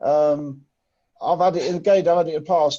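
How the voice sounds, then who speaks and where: A man with an English accent talks at a fairly quick pace and high pitch, his tone dark and mellow, his intonation fairly even. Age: 60s. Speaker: lifting and plant machinery trainer. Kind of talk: training session discussion. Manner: emphatic.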